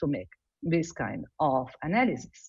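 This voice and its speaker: A somewhat breathy woman with an Italian accent and very wide pitch swings. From Italy. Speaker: embryologist. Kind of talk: lecture. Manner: halting.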